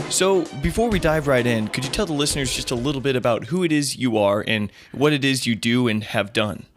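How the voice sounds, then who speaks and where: Over background music, a man talks at a fairly quick pace in a medium pitch, his intonation lively and his speech nearly free of pauses. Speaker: podcast host. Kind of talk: interview questions.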